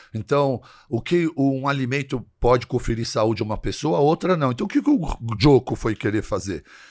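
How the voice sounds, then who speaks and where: In a quiet setting, a man of medium pitch talks at a moderate pace with lively intonation. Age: 60s. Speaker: physician and health influencer; health influencer. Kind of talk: casual chat. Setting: studio. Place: studio. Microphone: studio mic.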